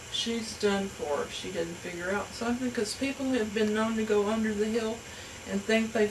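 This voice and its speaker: Over noticeable background noise, a woman talks at a fairly high pitch with fairly even intonation. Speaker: storyteller. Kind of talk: folk tale storytelling. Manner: casual, conversational.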